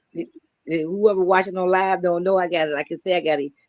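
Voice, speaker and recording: A woman talks fairly quickly in a plain, everyday voice, her pitch fairly low and the sound dry and close with no echo. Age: 60s. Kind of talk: interview. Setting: livestream.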